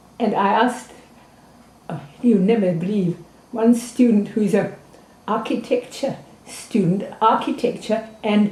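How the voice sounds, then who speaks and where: A woman speaks at a fairly high pitch over noticeable background noise. She pauses often and at length. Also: ordinary pitch variation, fairly slow pace. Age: 80s+. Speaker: anthropologist and teacher. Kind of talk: interview. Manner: halting.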